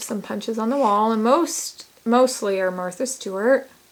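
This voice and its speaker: In an ordinary speaking voice, a woman with a fairly high pitch speaks fairly slowly, her pitch varying in an ordinary way. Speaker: crafter giving a room tour. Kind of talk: casual home tour video.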